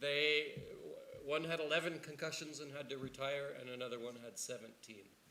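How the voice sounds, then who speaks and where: Speaking at a moderate pace with a Canadian accent, a man keeps his intonation fairly even while the room echo is audible. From Canada. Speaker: neuroscience researcher. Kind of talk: panel discussion. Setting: stage with audience. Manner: halting, many repetitions.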